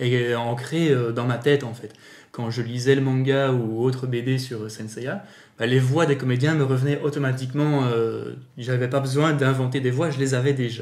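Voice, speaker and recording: Audible room echo surrounds a man speaking at a moderate pace. His intonation stays fairly even. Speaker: amateur voice actor and YouTuber. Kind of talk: casual interview.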